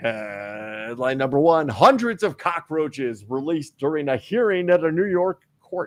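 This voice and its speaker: A man uses a booming, put-on character voice at a moderate pace. His pitch is fairly high and swings very widely. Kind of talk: official announcer. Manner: big, official, booming.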